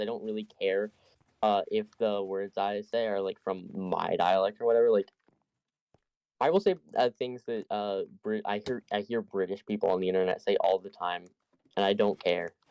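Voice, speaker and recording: Dry, close sound with no echo, carrying a man's fairly low voice at a moderate pace with ordinary pitch variation. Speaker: gaming streamer. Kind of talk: casual chat while gaming. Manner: halting, unfinished sentences.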